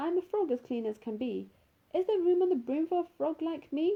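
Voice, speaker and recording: In a put-on character voice, a woman speaks at an extremely high pitch and a fairly quick pace. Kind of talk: children's story.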